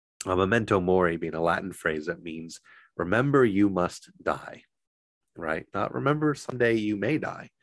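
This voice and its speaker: In a very clean recording with a silent background, a man with a fairly low pitch speaks at a moderate pace with lively intonation. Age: 40s. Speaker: Buddhist priest. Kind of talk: dharma talk. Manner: halting.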